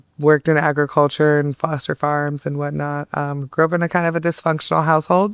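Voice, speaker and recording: In a very clean recording with a silent background, a woman speaks at a moderate pace in a very deep, low voice. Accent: Californian. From Northern California (Turlock, near Bay Area). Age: 30s. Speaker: trafficking survivor, advocate. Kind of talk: testimony. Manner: hesitant, many fillers.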